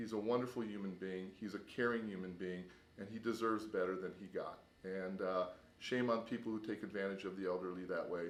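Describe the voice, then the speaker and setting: A man's ordinary speaking voice, fairly low in pitch, at a fairly quick pace with fairly even intonation. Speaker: neighbor raising funds for an elderly man. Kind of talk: charity appeal to camera.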